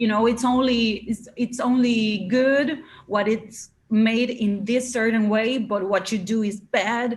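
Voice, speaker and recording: A somewhat breathy voice in an Argentine accent, fairly slow and monotone with flat intonation. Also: woman, fairly high pitch for a woman. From Argentina, Buenos Aires. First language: Spanish. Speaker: live coding musician. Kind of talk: interview. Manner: halting.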